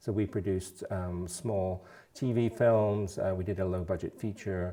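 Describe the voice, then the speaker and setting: A man's very deep, low voice and dark, mellow tone with an American accent, on a very clean recording with a silent background. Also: moderate pace. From England, London. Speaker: food bank CEO. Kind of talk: interview. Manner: hesitant, many fillers.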